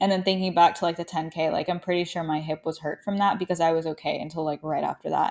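A woman with an American accent, fairly low in pitch, animated, at a very fast pace with hardly any pauses. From US South, Arkansas. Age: 20s. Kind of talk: casual solo chat. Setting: home living room with portable mic. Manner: animated, laughing often.

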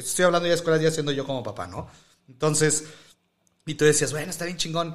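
This man's fairly high voice rushes at a very fast pace, broken by long, frequent pauses. Loudness swings widely while intonation stays fairly even. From Mexico, Silao, Guanajuato. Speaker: podcast host and teacher. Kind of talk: casual chat.

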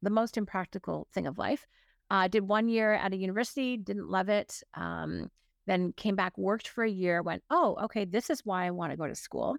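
At a moderate pace and in a Canadian accent, the speaker shows ordinary pitch variation in a very clean recording with a silent background and a dry, close sound free of echo. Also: woman. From Ontario, Canada. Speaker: business coach and author. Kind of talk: casual interview.

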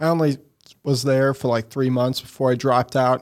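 Speaking in a Missouri accent, a man holds a medium pitch. His intonation stays monotone and flat. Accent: Midwestern American (Missouri). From Missouri, St. Louis area (Eureka). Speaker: entrepreneur, marketing agency CEO. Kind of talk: interview conversation. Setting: studio.

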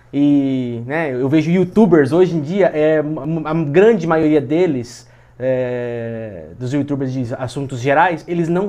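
Using lively intonation, a man speaks in a dark, mellow tone. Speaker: podcast host. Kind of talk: casual chat.

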